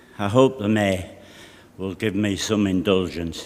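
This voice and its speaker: In a Geordie accent, a man speaks at a fairly slow pace. His voice is fairly low, with fairly even intonation. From North East England (Tyneside, North Shields). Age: 60s. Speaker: local councillor. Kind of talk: formal speech at council meeting.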